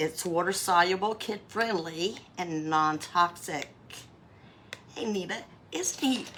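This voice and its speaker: Over noticeable background noise, a speaker with a North Carolina accent talks at a very slow pace with long, frequent pauses. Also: woman, fairly low pitch for a woman, ordinary pitch variation. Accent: Southern US (North Carolina). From US South, North Carolina. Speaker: craft livestreamer. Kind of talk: live craft tutorial. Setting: livestream. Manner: casual, chatty.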